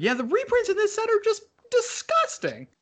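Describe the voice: Putting on a character voice, a man squeaks at an extremely high pitch and a moderate pace.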